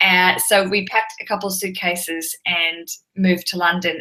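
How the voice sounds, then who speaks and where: The voice has a bright, sharp tone and comes with an Australian accent. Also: woman. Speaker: podcast host and television presenter. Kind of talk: interview. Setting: live video chat. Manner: chatty, animated.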